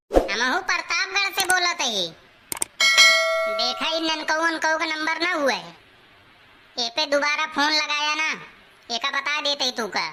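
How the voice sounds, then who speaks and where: This is a squeaky, cartoonish character voice. Sound effects play in the background. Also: woman, high pitch for a woman, moderate pace. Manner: taunting, tit-for-tat.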